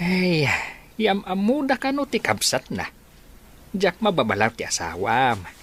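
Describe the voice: Doing a put-on character voice, a man speaks at a fairly slow pace with a high pitch, big pitch swings, a fairly bright tone and a slightly husky edge.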